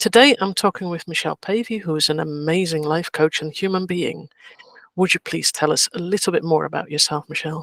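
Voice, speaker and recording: An unremarkable speaking voice, a woman's fairly low pitch with ordinary variation, comes at a fairly quick pace in a dry, close sound with no echo. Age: 50s. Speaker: podcast host. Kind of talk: casual chat.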